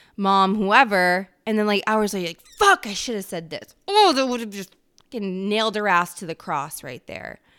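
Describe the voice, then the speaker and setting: A woman with a plain, everyday voice speaks at a moderate pace and medium pitch, using ordinary pitch variation, in a very clean recording with a silent background. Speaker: solo podcast host. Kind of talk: solo monologue podcast.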